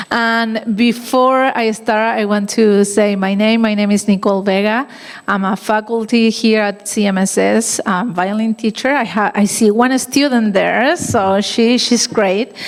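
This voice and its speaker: A woman with a Chilean accent talks at a fairly slow pace, with hardly any pauses and very even loudness. Her pitch is fairly high with fairly even intonation, over noticeable background noise. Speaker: violin teacher. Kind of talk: gala speech. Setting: stage with audience.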